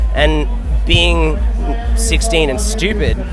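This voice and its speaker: A man with an Australian accent, over music in the background and audible room echo. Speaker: DJ and music producer. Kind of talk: interview. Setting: backstage at a music lounge, outdoors.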